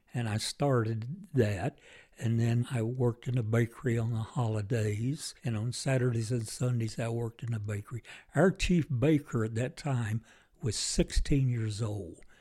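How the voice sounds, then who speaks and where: Somewhat breathy, a man speaks at medium pitch and a moderate pace with a dark, mellow tone and ordinary pitch variation, recorded very cleanly against a silent background. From Kentucky. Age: 90s. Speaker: war veteran. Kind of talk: interview. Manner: halting.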